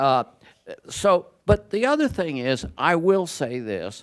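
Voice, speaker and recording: With very wide pitch swings, a man speaks at a very slow pace. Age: 70s. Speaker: professor. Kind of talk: panel discussion. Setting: event room with audience.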